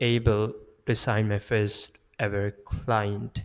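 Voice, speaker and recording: A man speaks at a very slow pace with a non-native accent. The background is quiet. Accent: foreign accent, worked on to reduce. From Pakistan. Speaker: sales and marketing content creator. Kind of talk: personal story monologue. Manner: hesitant with fillers.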